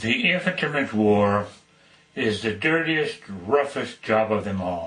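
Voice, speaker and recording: With an American accent, a man speaks at a very slow pace. His pitch is fairly low, and his intonation is lively. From Denver, Colorado. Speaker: World War II veteran. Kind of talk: personal war memoir narration.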